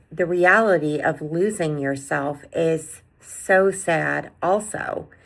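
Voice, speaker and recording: This woman has a fairly low pitch. Her pitch variation is ordinary. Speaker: self-help video host. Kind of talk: motivational talk to camera. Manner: many filler words.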